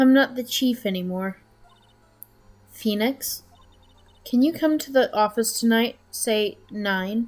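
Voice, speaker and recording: A woman's put-on character voice, fairly high in pitch, at a fairly slow pace with long, frequent pauses. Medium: game stream. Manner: composed.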